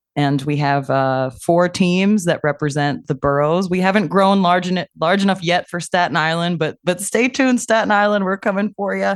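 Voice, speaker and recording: A woman with an unremarkable speaking voice and a fairly low pitch talks at a moderate pace with ordinary pitch variation and hardly any pauses over a quiet background. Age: 40s. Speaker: roller derby player. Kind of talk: interview.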